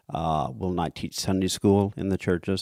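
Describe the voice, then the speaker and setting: In a Midwestern American accent, a man with a very deep, low pitch and a dark, mellow tone speaks with fairly even intonation, on a very clean recording with a silent background and a dry, close sound with no echo. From US Midwest. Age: 60s. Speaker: church committee leader. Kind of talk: interview testimony. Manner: halting, many fillers.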